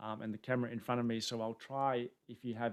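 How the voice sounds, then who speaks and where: Speaking at a very fast clip in an Australian accent, the voice stays monotone and flat. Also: man. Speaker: tech conference speaker. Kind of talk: webinar presentation. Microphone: new camera setup, air conditioning off for sound.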